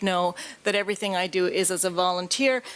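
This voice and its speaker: Speaking at a fairly quick pace with a Canadian accent, a woman uses a plain, everyday voice at medium pitch and with fairly even intonation. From Canada. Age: 50s. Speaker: patient advocate. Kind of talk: conference talk.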